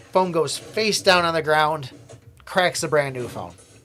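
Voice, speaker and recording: A man speaks with an American accent and ordinary pitch variation. Noticeable background noise runs underneath. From USA. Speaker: gaming streamer. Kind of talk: casual livestream chat. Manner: rambling, hesitant with fillers.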